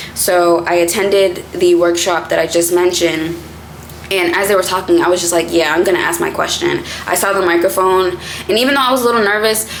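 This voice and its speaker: With an American accent, a woman speaks at a fairly quick pace and a medium pitch. Audible room echo and noticeable background noise fill the recording. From Boston, Massachusetts. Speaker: content creator. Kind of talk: casual vlog talk to camera.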